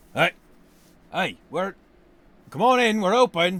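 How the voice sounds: A man puts on a gruff character voice pitched high. He speaks at a fairly slow pace.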